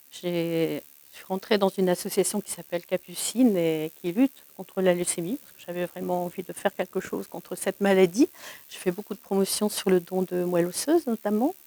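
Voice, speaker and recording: A woman at medium pitch, fairly quick, with ordinary pitch variation, big swings in loudness, and a dry, close sound with no echo. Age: 60s. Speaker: bereavement support volunteer. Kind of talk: interview testimony. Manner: hesitant, many fillers.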